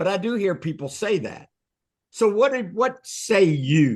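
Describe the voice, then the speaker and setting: A man with a high pitch. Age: 60s. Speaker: real estate coach. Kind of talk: group coaching session. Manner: animated.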